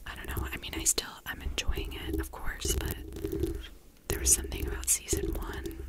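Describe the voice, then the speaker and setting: Someone whispers at a moderate pace with noticeable background noise behind them. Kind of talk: ASMR whisper ramble to camera. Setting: close to a bare mic with scratching sounds. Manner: whispered, rambling, casual.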